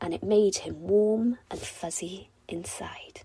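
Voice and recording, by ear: A woman speaks at a slow pace with a medium pitch, a dark, mellow tone, a slightly husky edge and vocal fry.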